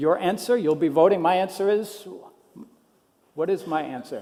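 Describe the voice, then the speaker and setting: Pitched high, a man's voice has a dark, mellow tone and ordinary pitch variation. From US Midwest, Minnesota. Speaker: education technology policy specialist. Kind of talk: conference talk.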